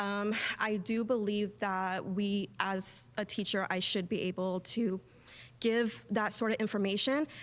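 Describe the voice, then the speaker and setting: The recording is very clean, with a silent background. A woman speaks at a medium pitch with ordinary pitch variation. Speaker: sociology educator in debate. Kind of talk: debate argument. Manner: halting; gentle, not loud.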